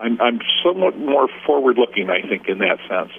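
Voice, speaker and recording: A man with an American accent and an ordinary speaking voice, at a fairly quick pace with ordinary pitch variation. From Michigan, Wayne County (Detroit area). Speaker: political candidate. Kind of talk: interview.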